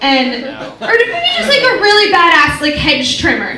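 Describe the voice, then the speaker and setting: In an American accent, a raised, projected voice moves through very wide pitch swings over noticeable background noise. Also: woman. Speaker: comedian. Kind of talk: live stand-up comedy performance. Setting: live stage with audience. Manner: casual, chatty, sarcastic.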